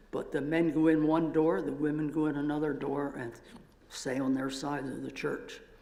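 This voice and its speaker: Against noticeable background noise and audible room echo, a man with an American accent speaks at a fairly high pitch and a moderate pace with fairly even intonation. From Pennsylvania. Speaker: retired professor. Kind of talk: church talk.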